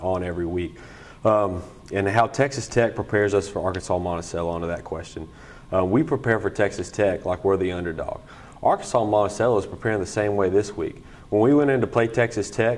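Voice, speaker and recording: At a very fast pace, a man speaks with a fairly low pitch and ordinary pitch variation. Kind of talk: interview answer. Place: meeting room.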